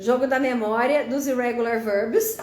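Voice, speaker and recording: In a room with audible echo, a woman speaks at a fairly slow pace in a high voice. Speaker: teacher presenting educational games. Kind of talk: live stream tutorial. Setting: live stream on social media.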